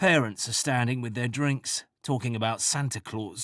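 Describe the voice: Someone reads aloud plainly. Little sound sits behind the voice.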